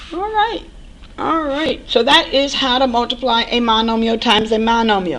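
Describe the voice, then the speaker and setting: A woman talks at a moderate pace in a high pitch with ordinary pitch variation. There is audible room echo and noticeable background noise. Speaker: math instructor. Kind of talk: recorded lecture.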